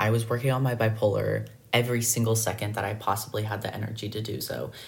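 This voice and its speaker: Here a man talks at a moderate pace. His medium-pitched voice is somewhat breathy. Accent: American. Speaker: podcast host. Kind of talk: solo podcast monologue about mental health.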